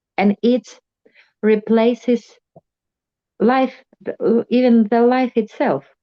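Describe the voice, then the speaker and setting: In a dry, close sound with no echo, a woman speaks very slowly with long, frequent pauses, her fairly high voice dark and mellow in tone and fairly even in intonation. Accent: non-native. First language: not English. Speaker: meeting participant. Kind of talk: sharing in group meeting. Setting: video call. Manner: halting.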